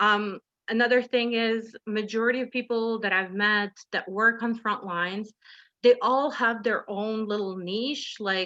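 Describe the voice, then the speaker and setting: Loud and at a fairly high pitch, a woman speaks at a moderate pace with a bright, sharp tone, in a dry, close sound with no echo over a quiet background. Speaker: drop-in centre manager, webinar speaker. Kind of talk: webinar presentation. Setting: video call. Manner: animated.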